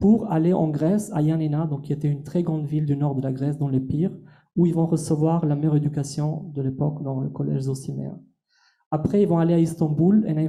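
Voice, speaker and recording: A man with an Albanian accent talks at a fairly quick pace in a somewhat breathy, dark, mellow voice, fairly high in pitch with fairly even intonation, amid audible room echo. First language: Albanian (speaking French). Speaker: translator and lecturer. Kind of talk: masterclass lecture.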